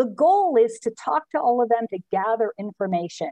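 With a quiet background and a dry sound with no echo, a woman speaks at a moderate pace in a high pitch that swings very widely. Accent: American. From US Northeast. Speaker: ski instruction association leader. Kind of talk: online membership meeting. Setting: video call. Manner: upbeat. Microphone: video call.

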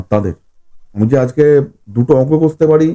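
Dry and close with no echo, a man's fairly high voice carries a dark, mellow tone. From West Bengal, Howrah (Shibpur). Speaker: horror fiction writer. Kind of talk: podcast interview.

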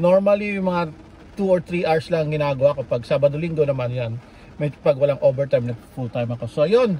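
A man at a fairly quick pace with lively intonation, over light background noise. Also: dry sound with no echo. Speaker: food delivery driver vlogger. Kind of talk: casual vlog chat. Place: car. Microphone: phone near.

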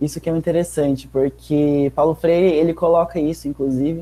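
The man's voice has a fairly high pitch and a dark, mellow tone. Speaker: participant activist. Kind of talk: casual discussion. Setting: video call. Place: home room. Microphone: earbuds.

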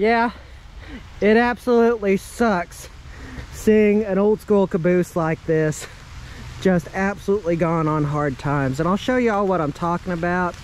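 At a moderate pace, a man speaks in a high voice with ordinary pitch variation, in a dry sound with no echo and light background noise. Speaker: exploration vlogger. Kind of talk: casual vlog chat. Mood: disappointed, a bit wistful. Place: rain. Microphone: phone near.

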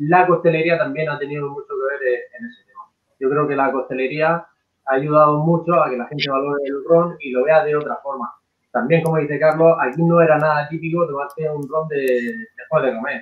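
A man talks at a moderate pace with a fairly high pitch and fairly even intonation. His loudness swings widely, and the room echo is audible. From Spain. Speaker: rum brand co-founder. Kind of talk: casual chat. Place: home room. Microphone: video call.

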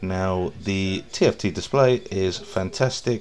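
A man with an English accent and a very deep, low voice speaks over light background noise. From England. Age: 30s. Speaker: car reviewer. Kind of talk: voice-over review narration. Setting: recorded voice-over while watching video. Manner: casual.

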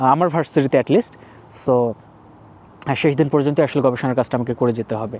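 A man's fairly high voice has a dark, mellow tone and ordinary pitch variation, recorded dry and close with no echo. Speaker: PhD graduate and video blogger. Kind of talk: informal explainer monologue. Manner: conversational, many pauses.

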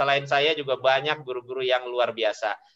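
A man talks against a quiet background. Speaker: teacher. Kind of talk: online webinar presentation. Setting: video call. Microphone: video call.

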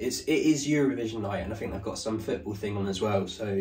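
Ordinary pitch variation from a man talking at a fairly quick pace. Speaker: vlogger. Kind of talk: casual vlog chat.

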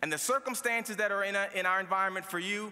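With an American accent, this man talks at a high pitch in an animated tone, his voice raised and projected. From Baltimore, US. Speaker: commencement speaker, lawyer and radio host. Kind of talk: commencement speech. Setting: stage with audience at graduation ceremony. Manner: animated, motivational, punchy with jokes and crowd-pleasing slang; conversational and humorous, laughing at his own anecdotes. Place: hall. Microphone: podium.

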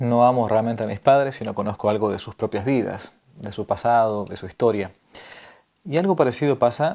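At a moderate speed, a man lets his pitch vary in a normal way. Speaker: priest presenting a book series. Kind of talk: spoken presentation to camera. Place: home room.

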